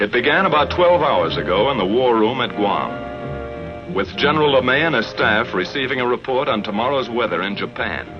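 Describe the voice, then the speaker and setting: Medium-pitched male voice over background music, moderate in pace, with lively intonation and hardly any pauses. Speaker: narrator. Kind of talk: documentary narration.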